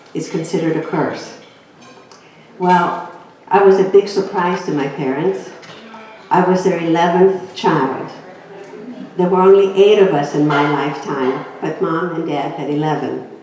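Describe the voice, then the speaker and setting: Speaking at a fairly slow pace with long, frequent pauses, a woman with a fairly low pitch keeps a fairly even intonation over noticeable background noise and audible room echo. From Greece. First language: Greek. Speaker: inspirational speaker. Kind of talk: inspirational talk.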